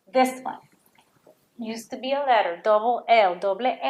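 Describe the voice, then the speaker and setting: In a Puerto Rican accent, this speaker talks at a fairly slow pace with ordinary pitch variation. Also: woman. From Puerto Rico. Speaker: Spanish teacher. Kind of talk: lesson for children. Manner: slow, clear enunciation.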